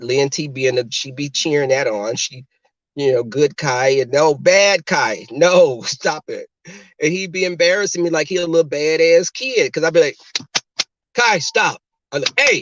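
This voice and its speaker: At a moderate pace, a man with a fairly high pitch speaks in an animated tone with lively intonation. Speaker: podcast host. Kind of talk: casual chat.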